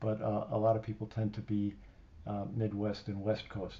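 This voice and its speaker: Somewhat breathy and fairly low, a man's voice carries a dark, mellow tone. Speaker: live streamer. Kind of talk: casual chat. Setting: live stream. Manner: slurred enunciation; halting with fillers.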